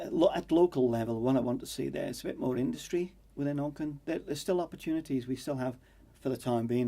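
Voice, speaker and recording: A man with a Manx accent at a very fast pace. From Isle of Man. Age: 60s. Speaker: election candidate. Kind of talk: political interview. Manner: halting, many fillers.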